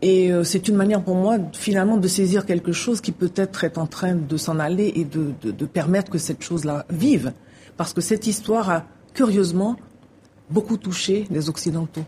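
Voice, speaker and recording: A woman speaks at a moderate pace in a medium pitch, her voice somewhat breathy with ordinary pitch variation. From Haiti. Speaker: novelist. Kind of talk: interview.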